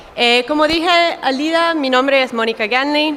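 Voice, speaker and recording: A woman's voice with ordinary pitch variation. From United States. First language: English (speaking Spanish). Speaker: dairy market analyst. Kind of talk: conference talk.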